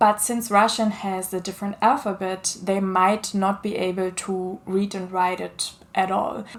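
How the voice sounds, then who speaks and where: A woman with a German accent speaks at a medium pitch and a moderate pace. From Germany. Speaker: children's author. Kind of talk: casual talk to camera.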